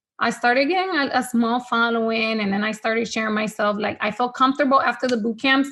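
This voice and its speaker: In a Spanish accent, the speaker talks at a very fast pace with hardly any pauses. The pitch varies in an ordinary way. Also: woman, fairly high pitch for a woman. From Honduras. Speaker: fitness trainer. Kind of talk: podcast interview. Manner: casual, filler-heavy.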